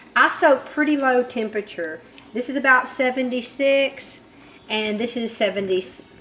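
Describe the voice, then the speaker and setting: High pitch from a woman at a moderate pace, noticeable background noise underneath. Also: ordinary pitch variation. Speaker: soap maker. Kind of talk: tutorial. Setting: home workshop, child filming.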